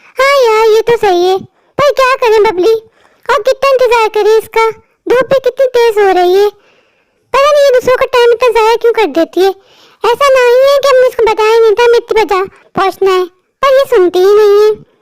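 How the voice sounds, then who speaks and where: A woman uses a cartoonish character voice at an extremely high pitch and a fairly quick pace, with ordinary pitch variation. The loudness is very even, and the sound is dry and close with no echo. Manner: whiny, gossipy.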